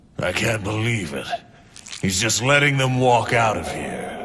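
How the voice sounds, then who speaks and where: A man puts on a raspy character voice at a medium pitch. He speaks at a moderate pace, and there is audible echo. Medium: fan dub. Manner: arrogant, bitter.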